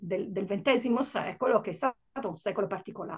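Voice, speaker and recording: The background is quiet as a woman talks. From Italy. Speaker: novelist; interviewee. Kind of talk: book presentation interview. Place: home room. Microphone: earbuds.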